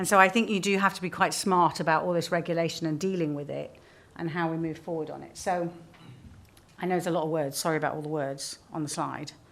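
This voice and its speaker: Talking at a very fast pace, a woman has a fairly low pitch. Room echo is audible. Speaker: sustainability executive. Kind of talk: conference presentation. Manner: animated.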